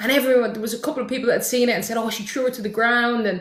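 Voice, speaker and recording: An animated woman with an Irish accent speaks at a high pitch, with audible room echo. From Ireland. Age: 30s. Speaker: football content creator. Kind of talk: casual chat.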